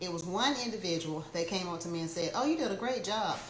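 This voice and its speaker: Amid noticeable background noise and audible room echo, a woman talks at a fairly quick pace in a fairly low pitch. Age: 50s. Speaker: motivational speaker and real estate agent. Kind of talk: casual livestream talk.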